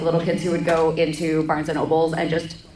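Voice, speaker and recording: This is a woman with a fairly low pitched voice. Noticeable background noise can be heard. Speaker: convention panelist, cosplayer. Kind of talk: casual, joking. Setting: convention panel.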